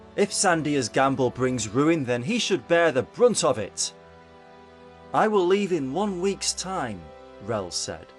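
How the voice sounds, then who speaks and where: Music plays behind a man speaking at a very slow pace. His fairly high voice swings very widely in pitch. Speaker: voice actor. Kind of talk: fiction audiobook narration.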